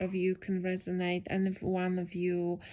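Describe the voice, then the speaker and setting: A woman speaks at a fairly slow pace with a non-native accent. The recording is very clean, with a silent background. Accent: non-native accent, self-described. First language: not English. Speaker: podcaster. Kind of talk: casual solo podcast monologue. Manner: improvised, hesitant with fillers.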